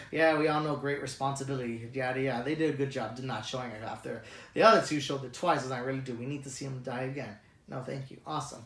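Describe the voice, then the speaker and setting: Amid audible room echo, a man talks at a very fast pace with fairly even intonation. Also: medium pitch for a man. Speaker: movie reviewer. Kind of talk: casual review monologue. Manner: halting, stuttering.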